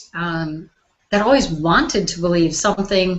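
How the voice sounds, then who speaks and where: A woman with a Wisconsin accent speaks at a moderate pace. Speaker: life coach hosting online launch party. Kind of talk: motivational talk to live online audience. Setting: live video call broadcast.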